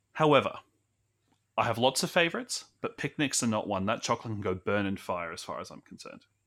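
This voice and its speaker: In a very clean recording with a silent background, a man with an Australian accent speaks at a very fast pace, his loudness swinging widely. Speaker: podcast host. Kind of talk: casual chat. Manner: talkative.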